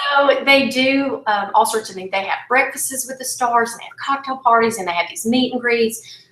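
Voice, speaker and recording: A high-pitched woman's voice at a moderate pace, with ordinary pitch variation, big swings in loudness, hardly any pauses and noticeable background noise. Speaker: country singer-songwriter. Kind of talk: interview, casual storytelling. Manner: animated.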